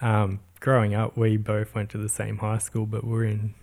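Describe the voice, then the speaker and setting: A man talks in a somewhat breathy voice with a fairly low pitch. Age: 30s. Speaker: podcast co-host and surf brand designer. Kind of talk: casual chat.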